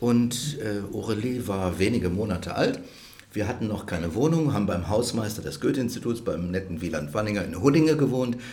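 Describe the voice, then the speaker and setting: A man's fairly low voice at a fairly quick pace, lively in intonation, with audible room echo and noticeable background noise. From Rhineland, Germany. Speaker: cultural institute director. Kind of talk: interview conversation. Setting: restaurant.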